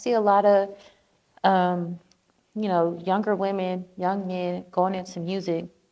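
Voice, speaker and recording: In a dark, mellow tone, a woman of medium pitch speaks at a fairly slow pace with monotone, flat intonation. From Atlanta, Georgia (moved from Miami as a child). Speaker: musician and nail artist. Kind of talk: casual interview.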